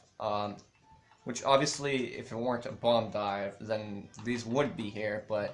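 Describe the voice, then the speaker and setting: Over music in the background, a man talks at a fairly slow pace with a medium pitch and ordinary pitch variation. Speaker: gaming content creator, level maker. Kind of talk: casual gameplay commentary. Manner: hesitant, many fillers.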